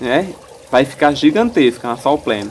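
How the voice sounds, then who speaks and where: A man speaks at a fairly slow pace, his pitch fairly high with ordinary variation. Background noise is noticeable. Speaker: gardening YouTuber. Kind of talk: tutorial.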